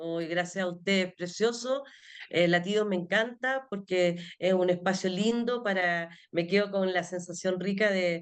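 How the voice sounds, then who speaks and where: Against a quiet background, a woman speaks at a medium pitch. Her pace is fairly slow and her intonation fairly even. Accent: Chilean. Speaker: special education teacher. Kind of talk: interview conversation.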